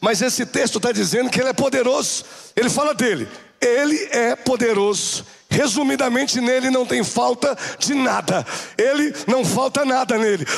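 A man's high-pitched, animated voice at a moderate pace, over noticeable background noise. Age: 40s. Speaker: bishop. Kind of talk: sermon. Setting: church.

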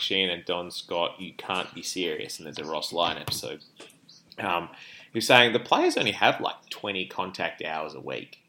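A man speaks very slowly with an Australian accent. His pitch is very deep and low, and his tone is bright and sharp. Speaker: podcast co-host, hospital doctor. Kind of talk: casual chat. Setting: remote call between cities. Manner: loud.

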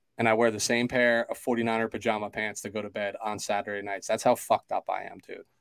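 A fairly quick pace, with dry, close sound and no echo. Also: man. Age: 30s. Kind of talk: casual chat. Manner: animated.

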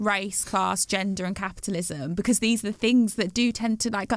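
A woman speaks in an unremarkable speaking voice, fairly high in pitch with ordinary pitch variation. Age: 30s. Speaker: podcast host. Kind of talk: casual chat.

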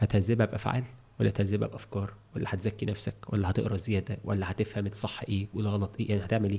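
A man speaks at a fairly quick pace with a fairly low pitch, a dark, mellow tone and vocal fry. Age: 40s. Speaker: trainer in education and development. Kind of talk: casual interview conversation. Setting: studio. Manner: animated.

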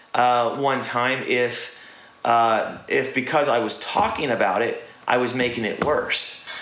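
With noticeable background noise behind him, a man speaks at a fairly slow pace in a fairly high pitch. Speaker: podcast host. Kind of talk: casual chat. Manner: laid-back, joking.

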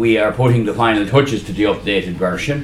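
A man with an Irish accent and ordinary pitch variation, amid noticeable background noise and audible room echo. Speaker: trade union official. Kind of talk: conference speech.

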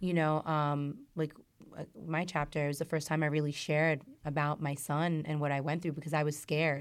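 Monotone, flat intonation comes through in an American accent on a very clean recording with a silent background. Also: woman, very deep, low pitch for a woman, moderate pace. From New York. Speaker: makeup artist and author. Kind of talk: casual chat.

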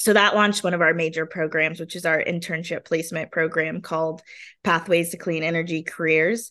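A woman's fairly low, bright and sharp voice at a fairly quick pace, over a quiet background. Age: 30s. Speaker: nonprofit executive director. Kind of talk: casual interview. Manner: animated.

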